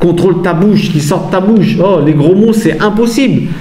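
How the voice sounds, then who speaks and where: A man's high-pitched voice at a fairly slow pace, with noticeable background noise and audible room echo. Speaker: Bible teacher, former boxer. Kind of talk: religious teaching monologue. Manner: animated, exhorting; casual, hesitant with repetitions.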